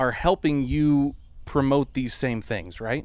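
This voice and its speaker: A man's unremarkable speaking voice at a medium pitch, with ordinary pitch variation and a fairly slow pace. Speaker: podcast host. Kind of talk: casual chat interview. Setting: outdoors on a porch.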